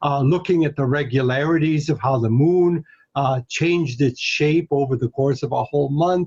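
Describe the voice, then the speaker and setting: Somewhat breathy and pitched fairly high, a man speaks at a moderate pace with very even loudness and fairly even intonation, the sound dry and close with no echo. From Hungary, moved to US at 11. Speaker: astronomy professor. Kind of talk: interview. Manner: hesitant, many fillers.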